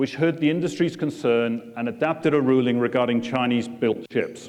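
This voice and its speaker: A man with a British accent at a medium pitch, fairly quick in pace, with ordinary pitch variation. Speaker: port chief executive. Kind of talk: keynote speech. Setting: conference room with audience.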